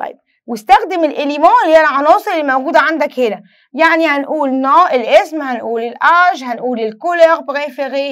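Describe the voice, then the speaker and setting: A woman's high voice in an Egyptian accent, fairly quick and with lively intonation, over a quiet background. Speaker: French teacher. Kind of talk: lesson. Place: studio.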